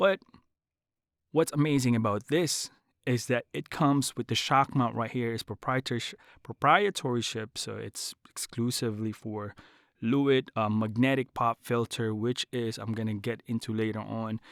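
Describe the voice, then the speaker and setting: An animated tone with ordinary pitch variation comes through a very clean recording with a silent background and a dry, close sound with no echo. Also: man, medium pitch for a man, moderate pace. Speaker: voice-over artist and tech reviewer. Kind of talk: product review. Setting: home studio. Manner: casual, animated.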